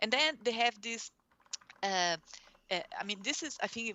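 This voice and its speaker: The speaker has a Portuguese accent and lively intonation. The pace is moderate. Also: woman. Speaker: urban planning researcher. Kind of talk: academic presentation. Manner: halting, many fillers.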